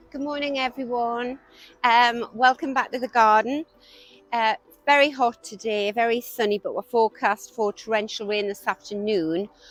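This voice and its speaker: Music plays in the background as a woman with a fairly high pitch speaks at a moderate pace with ordinary pitch variation, the sound dry and close with no echo. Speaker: gardening vlogger. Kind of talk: casual garden walkthrough. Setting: outdoors in garden. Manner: soft-spoken.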